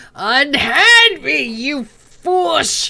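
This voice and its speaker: A put-on character voice bellows at a high pitch with very wide pitch swings. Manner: loud roar.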